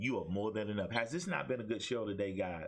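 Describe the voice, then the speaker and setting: The speaker has an animated tone over a quiet background. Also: man. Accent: Alabama. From Alabama. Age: 50s. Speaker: talk show host and pastor. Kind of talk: motivational preaching in a talk show. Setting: webcam livestream. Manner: animated, preacher-like exhortation.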